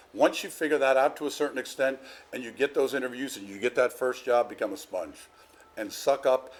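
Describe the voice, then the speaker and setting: An American-accented man speaks at a very fast pace. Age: 60s. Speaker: arena president. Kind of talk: interview. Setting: arena venue. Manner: animated.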